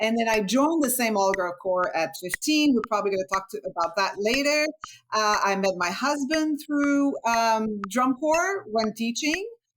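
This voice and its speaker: Her fairly high voice moves through very wide pitch swings as the woman speaks at a moderate pace. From Quebec, Montreal. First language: French. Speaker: former drummer, percussionist. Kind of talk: interview.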